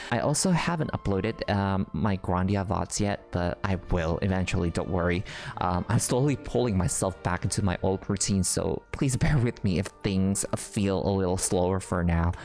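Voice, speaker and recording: Over music in the background, a man with a non-native accent speaks in a very deep, low pitch at a moderate pace, with ordinary pitch variation, very even loudness and hardly any pauses. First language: not English. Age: 30s. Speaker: gaming YouTuber and streamer. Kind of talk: casual channel update. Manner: toned down, less loud than before; hesitant, many fillers.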